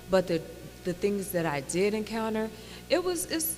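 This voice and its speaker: With music in the background, a woman of medium pitch talks at a moderate pace with a slight Indiana accent. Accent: slight Gary, Indiana. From Gary, Indiana, US Midwest. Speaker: actress. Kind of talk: interview.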